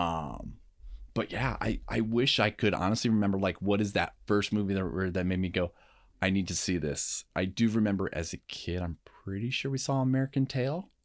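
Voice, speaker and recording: A man talks at a moderate pace with ordinary pitch variation and a fairly low pitch, an ordinary speaking voice. The recording is very clean, with a silent background. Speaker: film buff. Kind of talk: casual chat about movies.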